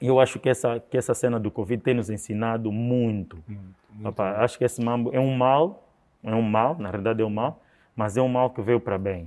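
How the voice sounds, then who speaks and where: Ordinary pitch variation with an Angolan accent. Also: man. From Angola, Luanda. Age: 30s. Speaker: event promoter. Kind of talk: interview.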